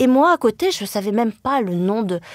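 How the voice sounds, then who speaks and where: Speaking fairly slowly, the woman shows ordinary pitch variation. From France, Le Mans (Sarthe). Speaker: journalist and writer. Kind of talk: interview conversation. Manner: hesitant, many fillers.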